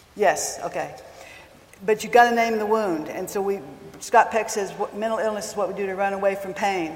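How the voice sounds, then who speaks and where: A woman speaks fairly quickly at a medium pitch, her intonation fairly even. Noticeable background noise runs behind her. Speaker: counselor. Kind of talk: talk to a live audience. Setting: stage with audience. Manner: soft-spoken.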